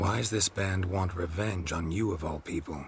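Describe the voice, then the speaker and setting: Putting on a character voice, a man speaks with a very deep, low pitch. His pace is moderate, with clear background noise behind him. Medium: video game. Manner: terse, dry.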